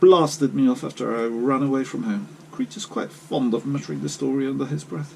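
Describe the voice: Plain reading aloud is heard here. The speaker reads it out.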